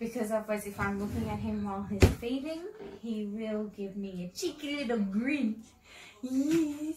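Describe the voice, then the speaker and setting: Loud background noise surrounds a woman talking. She speaks at a moderate pace with ordinary pitch variation. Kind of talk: casual vlog chat. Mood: relaxed, gentle night-time talk. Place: home room. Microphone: camera far.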